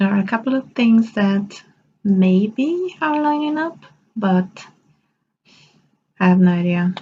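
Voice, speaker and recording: A woman's somewhat breathy, medium-pitched voice at a very slow pace. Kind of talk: casual vlog talk. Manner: mumbling, stumbling; stumbles over words due to aligners.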